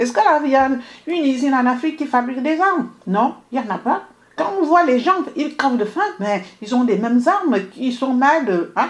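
A woman with a high voice lets her pitch swing very widely. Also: moderate pace. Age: 50s. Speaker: radio journalist. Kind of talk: radio debate. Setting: radio studio, live stream. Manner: halting.

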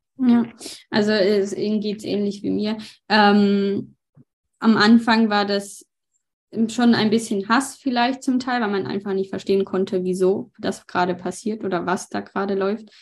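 Over a quiet background, a woman with a medium pitch talks at a moderate pace with fairly even intonation. She leaves long, frequent pauses. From Ukraine. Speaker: interpreter and aid volunteer. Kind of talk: interview with live interpreting.

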